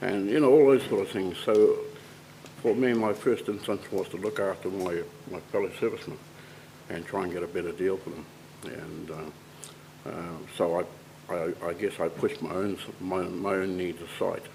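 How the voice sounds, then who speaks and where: A moderate pace with ordinary pitch variation and big swings in loudness, over noticeable background noise. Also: man, very deep, low pitch for a man. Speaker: military veteran. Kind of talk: testimony. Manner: slurred speech.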